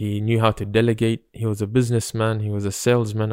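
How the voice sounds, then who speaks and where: A man's fairly low, dark and mellow voice, monotone and flat in intonation, on a very clean recording with a silent background. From Britain. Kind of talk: religious discussion.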